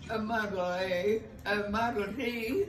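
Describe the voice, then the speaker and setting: Amid light background noise and audible room echo, a woman speaks with ordinary pitch variation. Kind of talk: interview answer. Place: home room.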